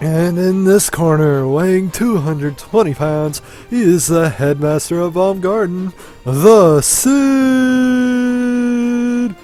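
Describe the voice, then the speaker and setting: Over clear background music, a man puts on a character voice, high-pitched and very slow. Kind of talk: sports announcer.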